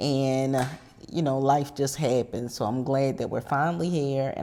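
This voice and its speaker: The voice has a dark, mellow tone, an American accent and ordinary pitch variation. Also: woman. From Maryland, US. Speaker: podcast co-host. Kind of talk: casual chat.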